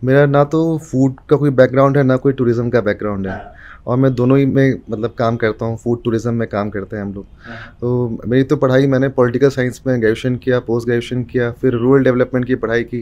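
Speaking with medium pitch and fairly even intonation, a man has a dark, mellow tone. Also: moderate pace. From Bihar, India (Muzaffarpur); Bihar, India. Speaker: food storyteller, food tour founder; food storyteller. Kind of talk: casual interview. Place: studio. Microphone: studio mic.

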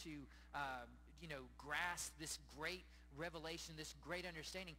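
Light background noise behind a man at a moderate pace. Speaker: pastor. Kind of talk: sermon. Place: church. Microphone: handheld.

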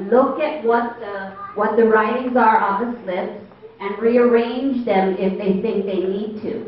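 Over light background noise and audible room echo, a woman speaks at a very slow pace with fairly even intonation. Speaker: meeting facilitator. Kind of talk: instructions to an audience. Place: hall. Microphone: handheld.

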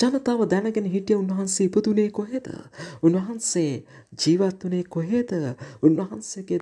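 In a Sri Lankan accent, a woman speaks very slowly with a dark, mellow tone. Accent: Sri Lankan Sinhala. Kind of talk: sermon.

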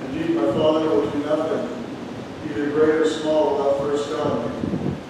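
Strong room echo surrounds a man's voice. He speaks at a moderate pace over noticeable background noise. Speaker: preacher. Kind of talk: sermon. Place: church.

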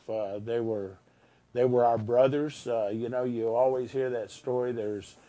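In a dark, mellow tone, a man speaks at a moderate pace with monotone, flat intonation. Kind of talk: interview answer. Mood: somber, emotional recollection. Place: studio. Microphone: lapel.

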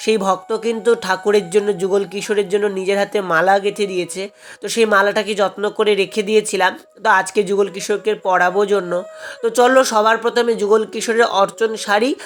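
A woman's medium-pitched, monotone voice with flat intonation and very even loudness, against noticeable background noise. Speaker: devotional vlogger and scripture reciter. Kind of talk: casual vlog narration to viewers.

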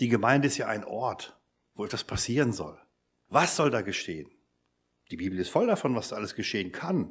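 Lively intonation from a man at a moderate pace, on a very clean recording with a silent background. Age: 50s. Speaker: lecturer at a mission academy, lay preacher. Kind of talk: church seminar talk.

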